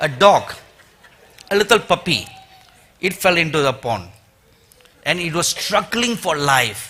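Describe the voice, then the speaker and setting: A man's high voice with an Indian accent, fairly slow and lively in intonation, broken by long, frequent pauses. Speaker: preacher. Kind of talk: sermon.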